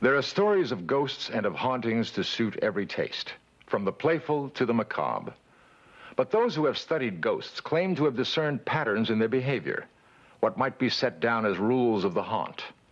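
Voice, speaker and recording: A man's medium-pitched voice with vocal fry, very wide pitch swings and very even loudness. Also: moderate pace. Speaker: documentary narrator. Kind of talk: documentary narration. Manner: calm.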